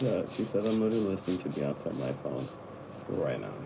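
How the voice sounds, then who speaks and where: This man's fairly low voice comes through audible room echo and noticeable background noise. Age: 20s. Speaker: live streamer. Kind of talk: casual chat. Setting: live stream.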